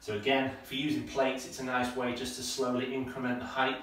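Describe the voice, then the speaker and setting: Fairly quick male speech with light background noise and audible room echo. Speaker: running coach. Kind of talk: tutorial. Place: home room. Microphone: camera far.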